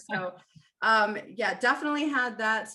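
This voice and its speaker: Speaking fairly slowly with an American accent, a woman uses lively intonation and a bright, sharp tone. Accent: slight Minnesota accent when tired. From Maryland, Annapolis. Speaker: podcast co-host. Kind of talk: casual interview.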